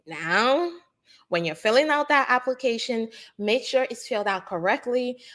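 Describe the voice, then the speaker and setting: A woman with an American accent and an ordinary speaking voice talks at a moderate pace with lively intonation in a very clean recording with a silent background. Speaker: immigration lawyer. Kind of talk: live Q&A chat.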